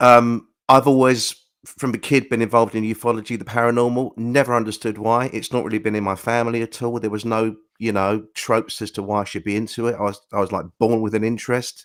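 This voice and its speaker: A man with a British accent at a medium pitch, speaking very fast in a flat, monotone way, in a very clean recording with a silent background. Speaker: crop circle researcher. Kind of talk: interview.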